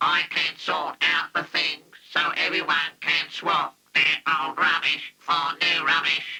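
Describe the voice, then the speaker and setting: Using a cartoonish character voice, a man speaks at a fairly slow pace. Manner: matter-of-fact.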